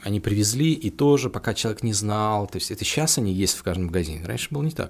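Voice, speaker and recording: Talking at a very fast pace, a man uses lively intonation. His pitch is fairly low. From Russia, Penza region. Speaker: guitar shop founder. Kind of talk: casual interview chat.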